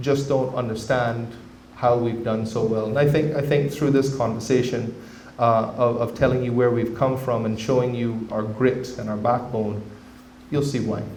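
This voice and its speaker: A man speaks at a medium pitch in a monotone, flat intonation, with audible room echo around him. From Cayman Islands. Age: 40s. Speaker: government representative. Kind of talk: public talk. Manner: halting, with many repeated words.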